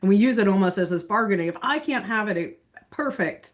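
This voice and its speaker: A woman's medium-pitched voice at a fairly quick pace, with lively intonation. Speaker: investment executive and TV market commentator. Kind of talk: podcast interview. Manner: fast.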